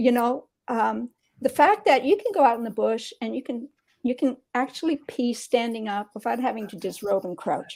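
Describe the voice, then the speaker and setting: A woman's high voice with lively intonation, big swings in loudness and a moderate pace. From Canada, Sudbury, Ontario. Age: 60s. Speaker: interview guest sharing personal story. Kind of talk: conversational interview, personal testimony.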